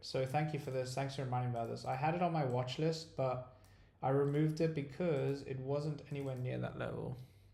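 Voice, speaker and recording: A man with a fairly high, dark and mellow voice that is somewhat breathy speaks at a fairly quick pace. His intonation stays flat and monotone, and room echo can be heard. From South Africa, raised in Dubai. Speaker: stock trading streamer. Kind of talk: live trading stream.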